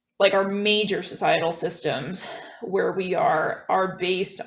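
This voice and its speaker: Speaking at a fairly slow pace with a North American accent, a woman with a medium pitch keeps her intonation fairly even, and audible room echo surrounds her voice. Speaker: guest on a philosophy podcast. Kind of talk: casual conversation. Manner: hesitant with many fillers.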